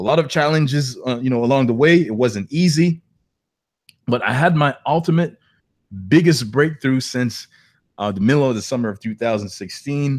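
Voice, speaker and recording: Speaking at a moderate pace with a slight non-native accent, a man uses medium pitch and ordinary pitch variation, leaving long, frequent pauses. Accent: slight foreign. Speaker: online entrepreneur, webinar host. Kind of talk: webinar presentation. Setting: live online webinar.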